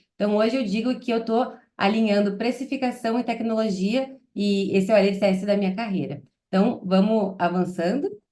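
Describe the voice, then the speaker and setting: A woman with a southern Brazilian accent, fairly high in pitch, with ordinary pitch variation and a moderate pace. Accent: gaúcho Brazilian Portuguese. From southern Brazil, Porto Alegre. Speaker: product manager. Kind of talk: webinar presentation. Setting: online webinar.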